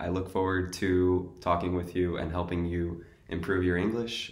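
With a New York accent, a man with a very deep, low pitch speaks in a monotone, flat way at a fairly slow pace, with audible room echo. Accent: New York American. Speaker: English teacher. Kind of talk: sales pitch. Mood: friendly, welcoming. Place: home room. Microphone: webcam.

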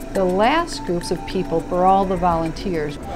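Clear music plays in the background while the voice moves at a moderate pace. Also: woman. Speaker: pastor. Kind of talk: interview answer. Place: office.

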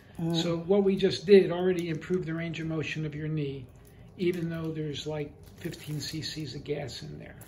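Light background noise runs underneath. The delivery keeps a moderate pace. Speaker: physician. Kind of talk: patient demonstration video. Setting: clinic.

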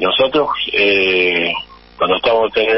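A man talks at a fairly slow pace in a medium pitch with a Rioplatense accent. Background noise is noticeable. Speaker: former footballer. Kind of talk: radio interview.

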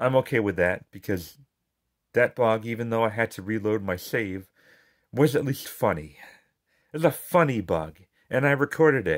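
A man mumbles at medium pitch with lively intonation and long, frequent pauses. The recording is very clean, with a silent background. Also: moderate pace. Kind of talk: casual game review talk. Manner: mumbling.

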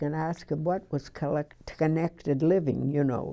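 A woman speaks with a very deep, low pitch and a dark, mellow tone. The background is quiet. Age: 80s+. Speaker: retirement community resident. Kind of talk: interview answer. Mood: warm, enthusiastic. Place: home room. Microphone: lapel.

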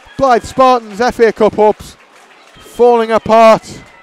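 A man in an excited tone, with a dry sound and no echo. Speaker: football commentator. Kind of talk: live-style football match commentary over highlights, play-by-play with analysis. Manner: brisk play-by-play, rising to excited exclamations at goals and chances; wry, chatty asides between action.

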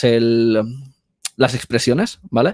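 This man talks at a fairly slow pace with fairly even intonation. The background is quiet. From Spain. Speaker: video editor and filmmaker; guest. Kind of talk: interview conversation. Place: home room. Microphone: headset.

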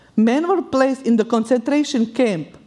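A woman with a Bosnian accent, with lively intonation, over a quiet background. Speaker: war refugee. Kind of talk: live personal storytelling. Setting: stage. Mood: solemn, grave. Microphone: headset.

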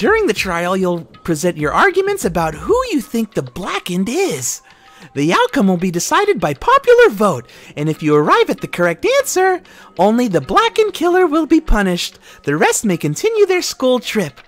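A put-on character voice with a fairly high pitch speaks at a moderate pace while faint music plays in the background. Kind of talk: comic villain overacting. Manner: theatrical, gleeful, mocking.

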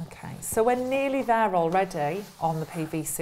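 Fairly slow speech from a woman. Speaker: presenter. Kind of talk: tutorial. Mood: friendly, calm. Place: studio. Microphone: lapel.

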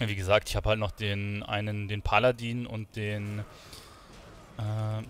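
A man speaks with a fairly low-pitched voice. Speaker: gaming YouTuber. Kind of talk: casual gaming commentary. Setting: recorded late at night at home, playing a game. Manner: relaxed, chatty.

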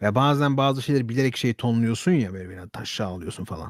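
Over a very clean recording with a silent background, a man talks at a fairly quick pace in an animated tone with lively intonation. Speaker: YouTuber / streamer. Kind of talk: casual monologue to camera. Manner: very fast.

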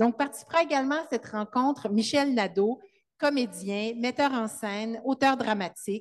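The pace is moderate. A woman speaks with ordinary pitch variation. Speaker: event host. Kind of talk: introduction at a literary event. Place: hall. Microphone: handheld.

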